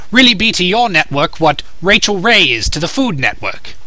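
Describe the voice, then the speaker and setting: A put-on character voice delivers lines at a moderate pace. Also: man, high pitch for a man. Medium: dub. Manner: eager, persuasive.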